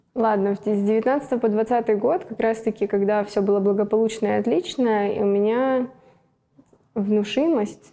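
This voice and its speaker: A woman with an unremarkable speaking voice talks at a fairly slow pace and fairly high pitch, with ordinary pitch variation. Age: 20s. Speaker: athlete. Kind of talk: casual chat.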